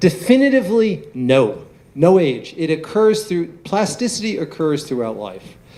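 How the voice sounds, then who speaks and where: A fairly high-pitched man with a dark, mellow tone, moderate pace, very wide pitch swings and audible room echo. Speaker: neuroscientist. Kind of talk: lecture Q&A.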